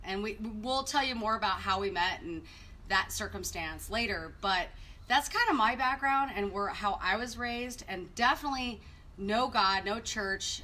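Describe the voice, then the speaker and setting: Over noticeable background noise, a woman speaks with a Southwestern US accent at a fairly high pitch. Her pace is moderate and her pitch variation ordinary. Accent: US Southwest American. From Arizona, North Phoenix. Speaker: marriage ministry co-host. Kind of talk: personal testimony. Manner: casual, conversational.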